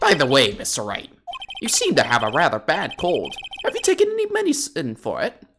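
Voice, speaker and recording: Faint music plays in the background. Over it, a put-on character voice speaks at a fairly quick pace. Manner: prim, bookish.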